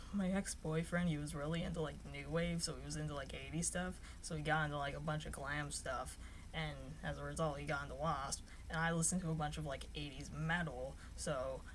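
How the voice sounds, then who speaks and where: Fairly quick female speech in audible room echo, with noticeable background noise. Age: adult. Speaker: YouTuber. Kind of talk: casual vlog talk. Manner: monotone; rambling with fillers.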